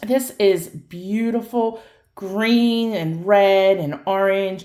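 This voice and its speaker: This woman speaks loudly. Her pitch sits in the medium range. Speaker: crystal shop owner and tarot reader. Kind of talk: casual chat to viewers.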